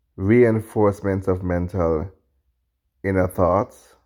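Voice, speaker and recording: In a Jamaican accent, a man talks very slowly in a dark, mellow tone. The recording is very clean, with a silent background. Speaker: podcast host, video commentator. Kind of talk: reaction commentary. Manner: halting, self-correcting.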